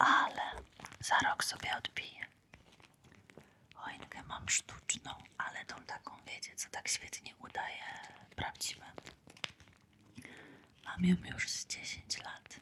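A woman whispers in a calm tone at a very slow pace, leaving long, frequent pauses. Her loudness swings widely, and noticeable background noise is present. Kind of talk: ASMR close-whisper talk. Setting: close-mic studio with crinkle and squishy-toy sounds. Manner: whispered, soft, calm.

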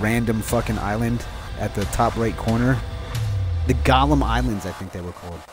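With music in the background, a man speaks at a moderate pace in a very deep, low pitch, swinging very widely in pitch and leaving long, frequent pauses. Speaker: gamer dad. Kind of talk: casual gaming chat.

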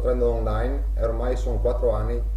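Very deep and low in pitch, a man talks in a monotone, flat way at a moderate pace, with audible room echo and light background noise. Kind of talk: testimonial statement. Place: home room. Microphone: webcam.

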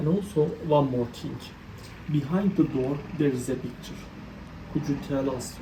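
A woman with a very deep, low pitch, at a fairly slow pace with long, frequent pauses, in audible room echo. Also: ordinary pitch variation. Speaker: travel vlogger interviewing witches. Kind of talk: interview.

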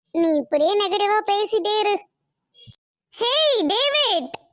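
Putting on a squeaky character voice, a woman speaks very slowly at an extremely high pitch. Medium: cartoon. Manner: breezy, bossy.

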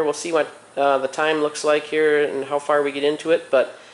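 Speaking at a fairly quick pace, a man talks in a monotone with flat intonation. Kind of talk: casual vlog chat. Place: garage. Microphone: phone near.

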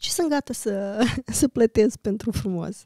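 A woman speaks with a dark, mellow tone and ordinary pitch variation. The recording is very clean with a silent background, dry and close with no echo. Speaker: journalist. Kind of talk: casual chat.

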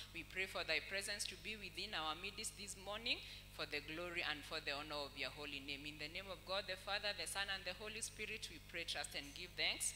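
Over music in the background, a man talks at a fairly quick pace with hardly any pauses. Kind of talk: spoken prayer. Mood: earnest, devotional. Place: church. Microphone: handheld.

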